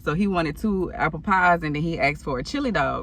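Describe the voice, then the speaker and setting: With a bright, sharp tone and vocal fry, a woman of fairly low pitch talks at a fairly quick pace in an animated tone with ordinary pitch variation. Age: 30s. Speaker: storytime vlogger. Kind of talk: casual storytelling.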